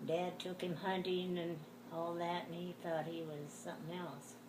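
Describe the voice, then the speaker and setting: Over noticeable background noise, a woman speaks at a fairly slow pace in a fairly low pitch. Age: 80s+. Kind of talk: interview answer.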